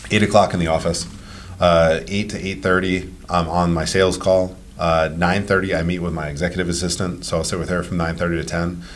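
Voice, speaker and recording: Audible room echo surrounds a man speaking at a fairly quick pace with a very deep, low pitch. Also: fairly even intonation. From Rhode Island, Cranston. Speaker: real estate investor and property manager. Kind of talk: podcast interview. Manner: casual, conversational.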